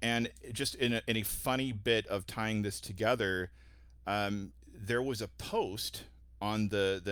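A man speaks at a fairly low pitch with vocal fry and ordinary pitch variation, on a very clean recording with a silent background. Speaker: guest host for this episode. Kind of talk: casual interview chat.

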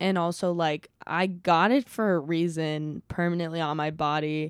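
In a normal speaking voice, a woman with a fairly low pitch keeps her intonation fairly even, recorded very cleanly with a silent background. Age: 20s. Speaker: stand-up comedian. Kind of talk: casual chat.

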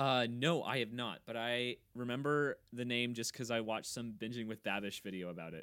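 A man with an American accent speaks in a bright, sharp tone at medium pitch, with a moderate pace and ordinary pitch variation. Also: very clean recording, silent background. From Kansas. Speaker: podcast co-host. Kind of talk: casual chat.

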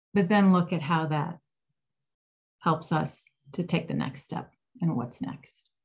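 A woman's voice comes through somewhat breathy. She talks at a fairly slow pace. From Ohio, US Midwest. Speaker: music therapist and author. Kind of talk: interview.

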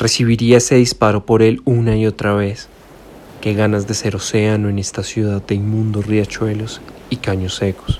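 In a flat, monotone delivery, this man talks at a moderate speed with a fairly low-pitched voice. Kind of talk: reading aloud poetry.

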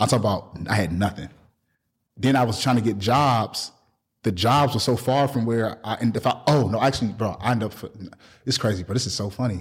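The voice is a man's and somewhat breathy. He talks at a fairly quick pace. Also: medium pitch for a man, ordinary pitch variation. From Milwaukee, Wisconsin, US Midwest. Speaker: clothing brand owner and business coach. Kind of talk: casual interview.

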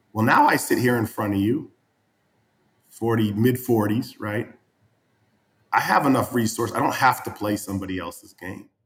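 Pausing often and at length, a man talks at a moderate pace and medium pitch in a somewhat breathy voice with fairly even intonation. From New England. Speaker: real estate entrepreneur. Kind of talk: casual chat.

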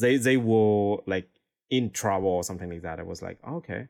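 A man speaks at a fairly low pitch with a Vietnamese accent. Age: 20s. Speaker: DJ and music producer. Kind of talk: interview.

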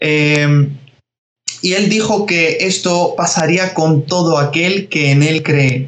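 A man at a fairly high pitch and a very slow pace, with fairly even intonation and very even loudness. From Spain (from age 11), born in Georgia. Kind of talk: interview.

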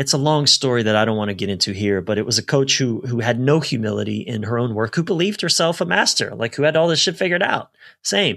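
Hardly pausing, a man races along at a very fast pace. His pitch swings very widely. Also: medium pitch for a man. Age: 40s. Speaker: military veteran and personal growth leader. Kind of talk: casual interview. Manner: animated.

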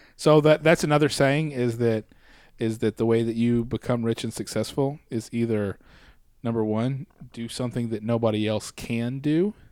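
On a very clean recording with a silent background, a man in a plain, everyday voice speaks at medium pitch, at a moderate pace, with ordinary pitch variation. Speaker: podcast co-host. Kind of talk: casual banter.

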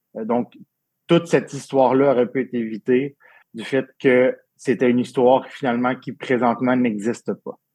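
Dry and close with no echo, a man's dark, mellow, medium-pitched voice moves at a moderate pace with fairly even intonation. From Quebec, Abitibi-Témiscamingue. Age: 30s. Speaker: event and wine industry worker, suicide attempt survivor. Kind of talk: personal testimony. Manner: halting, repeats words.

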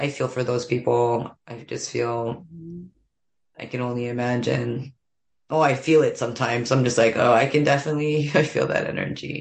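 With a very deep, low voice, a woman speaks at a moderate pace, her loudness swinging widely. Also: fairly even intonation. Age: 40s. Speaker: stand-up comedian. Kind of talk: casual chat. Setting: at home, in her bathroom.

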